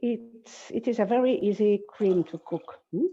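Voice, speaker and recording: In a dark, mellow tone, a woman speaks very slowly with ordinary pitch variation. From Spain. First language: Spanish. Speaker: cooking teacher. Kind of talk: cooking class. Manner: halting.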